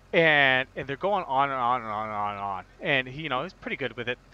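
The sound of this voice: With an American accent, a man talks at a fast pace in a medium pitch, his tone clear and smooth and his intonation lively.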